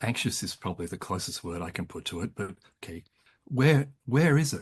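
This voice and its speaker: Somewhat breathy, a man with an Australian accent speaks at a medium pitch with very wide pitch swings and big swings in loudness. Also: moderate pace. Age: 70s. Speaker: psychologist and author. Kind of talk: interview about psychology. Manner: halting, frequent repetitions.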